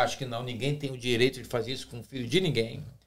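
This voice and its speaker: At a medium pitch with ordinary pitch variation, a man uses an ordinary speaking voice. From Brazil. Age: 60s. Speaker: pastor. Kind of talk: podcast discussion. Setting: studio table.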